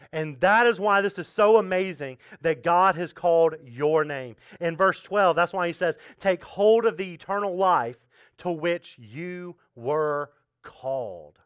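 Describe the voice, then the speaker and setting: A man at a high pitch and fairly slow pace, with ordinary pitch variation, over a quiet background. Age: 30s. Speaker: pastor. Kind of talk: sermon. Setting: church. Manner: casual, conversational with fillers.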